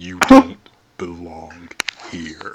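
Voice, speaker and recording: A put-on character voice at a very deep, low pitch. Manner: eerie, creepy.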